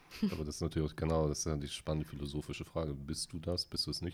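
A man's very deep, low voice at a very fast pace. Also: hardly any pauses. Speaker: podcast host. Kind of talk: casual chat. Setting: studio.

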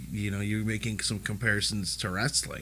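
A man's medium-pitched, unremarkable speaking voice at a fairly quick pace. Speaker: podcast host. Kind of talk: casual chat.

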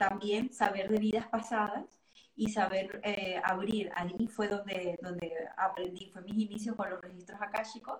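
Against noticeable background noise, a woman of medium pitch talks at a moderate pace with big swings in loudness. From Venezuela. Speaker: astrologer and tarot reader. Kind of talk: casual interview.

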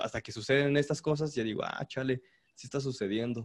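A man's unremarkable speaking voice, medium in pitch, at a fairly quick pace with ordinary pitch variation. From Mexico, Puebla. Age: 20s. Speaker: cumbia musician. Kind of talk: casual chat.

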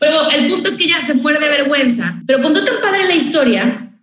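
A woman talks with an energetic tone. Audible room echo surrounds her voice. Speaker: radio announcer. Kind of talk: casual chat. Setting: video call.

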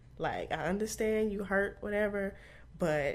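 Speaking very slowly, a woman talks in an American accent. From Arlington, Texas (Dallas area). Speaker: insurance claims adjuster and podcaster. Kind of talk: casual interview.

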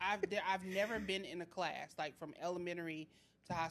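This woman has a plain, everyday voice, pitched fairly low with ordinary pitch variation. She speaks at a fairly quick pace. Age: 30s. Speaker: podcast co-host. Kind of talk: casual chat.

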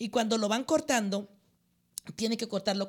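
Her intonation fairly even, a woman speaks with vocal fry. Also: very clean recording, silent background. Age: 50s. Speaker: pastor. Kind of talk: interview.

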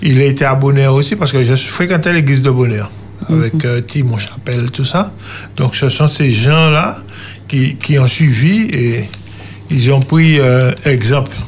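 A man at medium pitch talks at a fairly slow pace with long, frequent pauses, ordinary pitch variation and very even loudness. Noticeable background noise sits behind him. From Martinique (Trinité). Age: 50s. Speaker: testimony guest, former brawler. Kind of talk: testimony.

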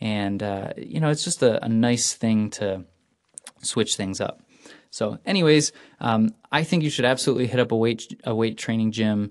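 At a moderate pace, a man with a normal speaking voice talks at a medium pitch with ordinary pitch variation. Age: 20s. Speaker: cycling podcast host. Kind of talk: solo podcast monologue. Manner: casual with many fillers.

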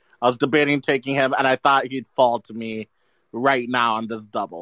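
Heard as a dry, close sound with no echo, a man with an American accent uses an ordinary speaking voice at a medium pitch with fairly even intonation. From US South, New Orleans. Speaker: music draft participant. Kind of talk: casual chat.

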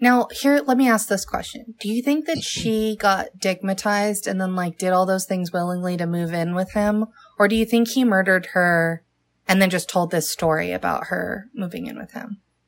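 This woman has an ordinary speaking voice, medium in pitch with ordinary variation, and talks at a moderate pace. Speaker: podcast co-host. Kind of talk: casual chat. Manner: casual, joking.

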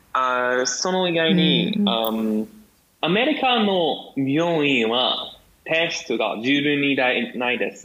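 Very slowly, a man speaks with an American accent. His intonation is lively. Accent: American-accented Japanese. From US. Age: 20s. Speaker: guest, Japanese learner, history student. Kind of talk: casual chat. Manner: halting.

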